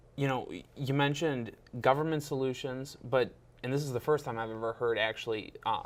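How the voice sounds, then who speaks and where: A man with an unremarkable speaking voice, medium pitch, fairly quick pace and fairly even intonation. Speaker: talk show host. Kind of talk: interview host.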